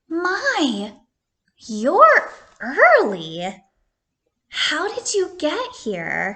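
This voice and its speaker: A woman uses a put-on character voice with an extremely high pitch and a gentle, warm tone. She talks at a very slow pace with long, frequent pauses. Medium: read story.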